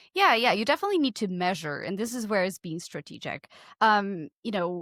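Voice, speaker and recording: Lively intonation marks speech at a fairly quick pace with a Portuguese accent, on a very clean recording with a silent background and a dry, close sound with no echo. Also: woman. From Portugal. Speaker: podcast consultant. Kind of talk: casual chat.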